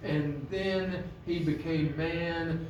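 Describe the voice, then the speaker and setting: A man is speaking with noticeable background noise. Audible echo fills the room. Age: 70s. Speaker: lay preacher. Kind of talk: sermon. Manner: halting, many fillers.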